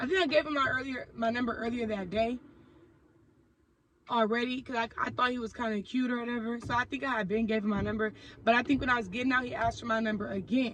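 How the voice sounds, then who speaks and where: A woman with an American accent speaks at a very fast pace. Her pitch is high and her intonation fairly even. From Oakland, California. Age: 20s. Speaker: YouTuber. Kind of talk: storytime vlog. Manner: casual, conversational with fillers.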